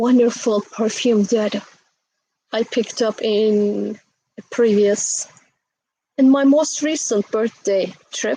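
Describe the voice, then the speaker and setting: A woman with a fairly high pitch and a dark, mellow tone speaks at a very slow pace, with fairly even intonation and long, frequent pauses. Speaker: astrology channel host. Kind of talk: casual astrology talk.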